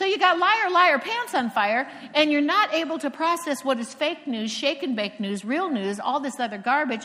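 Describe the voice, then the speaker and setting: A woman with an American accent speaks at a moderate pace, her pitch swinging very widely. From Cocoa Beach, Florida. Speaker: preacher. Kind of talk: sermon. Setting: stage with audience.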